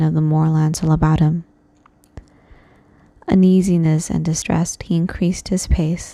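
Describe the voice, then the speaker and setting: At a moderate pace, the speaker uses a plain, everyday voice. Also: woman. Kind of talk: horror story reading. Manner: soft, calm.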